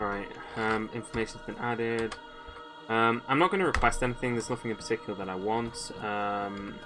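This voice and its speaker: Music plays in the background as a man talks at medium pitch with ordinary pitch variation. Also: fairly quick pace. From English Midlands. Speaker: gaming streamer. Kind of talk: live gameplay commentary. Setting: livestream. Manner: hesitant, many fillers and restarts.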